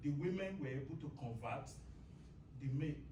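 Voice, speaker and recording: A man talking at a fairly quick pace, with noticeable background noise and audible room echo. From Nigeria. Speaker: church member. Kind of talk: Bible class discussion. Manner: halting.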